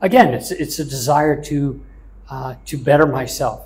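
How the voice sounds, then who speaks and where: A man with an American accent, somewhat breathy, at a fairly slow pace. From US South. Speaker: chef; interviewee. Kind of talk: interview. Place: office. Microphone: lapel.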